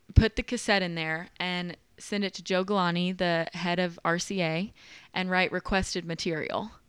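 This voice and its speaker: Delivered at a moderate pace in a flat monotone, the speech sits on a very clean recording with a silent background. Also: woman. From Nashville, Tennessee. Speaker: massage therapist and yoga instructor. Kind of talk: casual chat.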